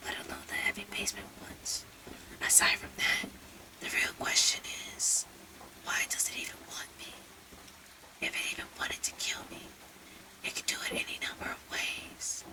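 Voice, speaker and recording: Over noticeable background noise, someone whispers at a moderate pace, leaving long, frequent pauses. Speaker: storyteller. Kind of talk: reading aloud. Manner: whispering.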